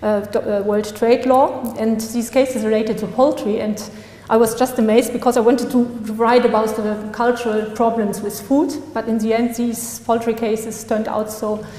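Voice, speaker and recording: In a room with audible echo and noticeable background noise, a woman speaks at a moderate pace with a fairly high pitch and monotone, flat intonation. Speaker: law graduate and article author. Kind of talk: conference talk. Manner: halting.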